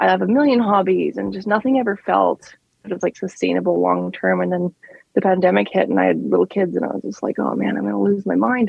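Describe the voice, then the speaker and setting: A woman in a Canadian accent talks at a very fast pace. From Saskatchewan, Canadian prairies. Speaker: author. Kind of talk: casual interview chat. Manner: animated.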